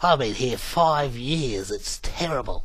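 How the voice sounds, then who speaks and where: A put-on character voice at middle pitch moves at a fairly slow pace over clear background noise. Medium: solo performance. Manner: excited, blokey exclamations.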